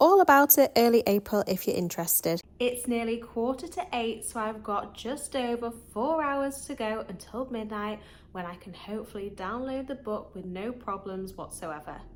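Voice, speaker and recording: Over noticeable background noise, a woman talks with hardly any pauses at a fairly high pitch. Her intonation is lively and her loudness swings widely. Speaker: book vlogger. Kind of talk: casual vlog.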